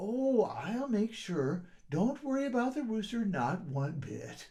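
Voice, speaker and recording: A put-on character voice from a man, high-pitched with very wide pitch swings and a fairly slow pace. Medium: read story. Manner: hesitant, bumbling.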